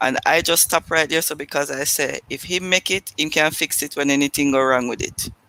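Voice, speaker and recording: Here a man talks at a fairly quick pace with a fairly high pitch. His tone is bright and sharp, and his intonation fairly even. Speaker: guest sharing faith story. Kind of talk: testimony.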